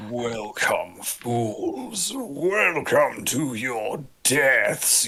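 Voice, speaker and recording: Putting on a character voice, a man speaks at a fairly high pitch and a very slow pace. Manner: menacing.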